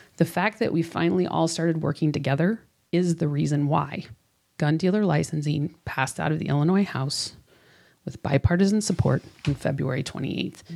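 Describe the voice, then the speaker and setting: A woman speaks in a very deep, low voice with an American accent and ordinary pitch variation. Her pace is moderate, and the recording is very clean with a silent background. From US Midwest (Chicago northern suburbs). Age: 40s. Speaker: gun violence prevention campaign organizer. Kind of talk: interview conversation. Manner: animated, enthusiastic.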